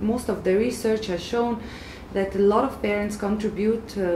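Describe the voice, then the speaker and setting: Moderate pace and fairly even intonation, with audible room echo and light background noise. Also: woman. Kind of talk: expert explainer. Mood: calm, serious. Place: office.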